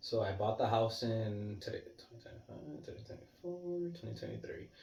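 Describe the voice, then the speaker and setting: The voice is somewhat breathy, and audible room echo surrounds it. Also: man. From Puerto Rico. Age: 30s. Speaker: vlogger. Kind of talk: casual chat. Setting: living room at home. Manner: fast; animated.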